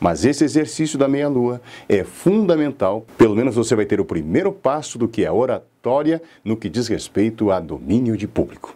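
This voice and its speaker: The voice has a dark, mellow tone with vocal fry. Its pitch swings very widely. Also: man, medium pitch for a man, moderate pace. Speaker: public speaking teacher and radio announcer. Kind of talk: lecture. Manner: didactic.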